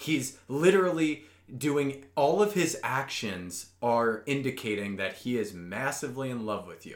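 Speaking with an American accent, a man uses a medium pitch, very wide pitch swings, big swings in loudness and an animated tone. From US Midwest. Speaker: podcast co-host. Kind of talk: casual chat.

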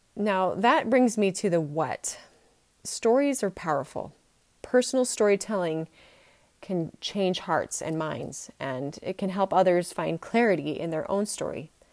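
With a Utah accent, a woman speaks fairly slowly and with lively intonation. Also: medium pitch for a woman. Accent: American (Utah). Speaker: podcast host. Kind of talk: personal storytelling monologue.

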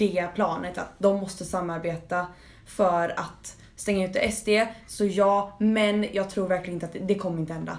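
Audible room echo surrounds the voice. A woman at a medium pitch speaks at a moderate pace with fairly even intonation. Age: 18. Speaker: podcast co-host. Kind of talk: casual chat.

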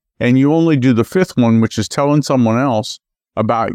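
Here is an ordinary speaking voice from a man at medium pitch with lively intonation. The sound is dry and close with no echo, and the background is quiet. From US South, Memphis, Tennessee. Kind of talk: radio interview.

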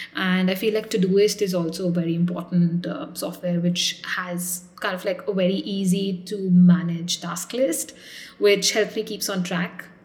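A woman talks at a medium speed, her intonation fairly level, with clearly audible noise behind her. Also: medium pitch for a woman. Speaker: doctor and startup founder. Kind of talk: interview.

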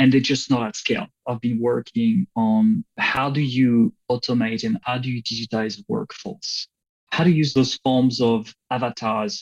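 A man speaks at a medium pitch, somewhat breathy, with very wide pitch swings. The sound is dry and close with no echo. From France. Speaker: bank innovation manager. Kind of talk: interview.

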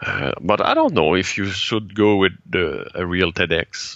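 A man with a Quebec French accent speaks at a fairly slow pace. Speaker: TEDx organizer and speaking coach. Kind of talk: interview. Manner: halting.

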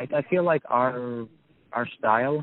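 In a New York accent, a man talks fairly slowly with fairly even intonation. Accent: New York American. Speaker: newspaper editor. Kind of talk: interview. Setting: in a car. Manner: halting.

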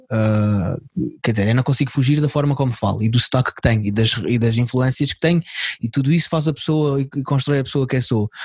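A man talks at a fairly quick pace in a somewhat breathy, medium-pitched voice, with ordinary pitch variation and very even loudness. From Portugal, Algarve. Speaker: comedian. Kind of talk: casual chat. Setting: video call.

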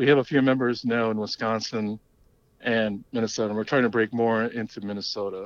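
This man talks with an American accent, his delivery flat and monotone at a fairly quick pace. The background stays quiet. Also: medium pitch for a man. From Long Island, New York. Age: 40s. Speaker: cycling team member. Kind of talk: casual chat.

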